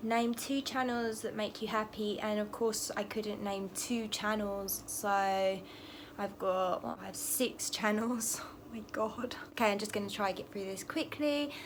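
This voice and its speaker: With an English accent, a woman speaks at a fairly high pitch, using fairly even intonation and hardly any pauses. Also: fairly slow pace. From England. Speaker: tarot reader. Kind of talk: casual talk to camera.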